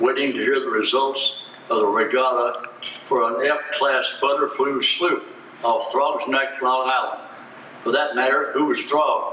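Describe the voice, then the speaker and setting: A man with an American accent at a fairly slow pace, his loudness very even, with noticeable background noise. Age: 80s+. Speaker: sportswriter. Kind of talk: award acceptance speech. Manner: dry, humorous.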